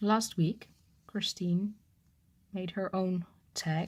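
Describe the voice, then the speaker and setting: A somewhat breathy woman at a very slow pace with fairly even intonation, on a very clean recording with a silent background. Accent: non-native. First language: not English. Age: 30s. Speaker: cross-stitch vlogger. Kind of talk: casual chat. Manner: halting.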